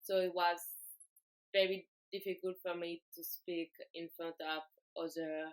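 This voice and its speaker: A woman's fairly low voice in a French accent, monotone and flat, at a fairly slow pace with long, frequent pauses and big swings in loudness, the sound dry and close with no echo. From France. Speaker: exchange student. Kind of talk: class project presentation. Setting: self-recorded video. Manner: halting, many fillers.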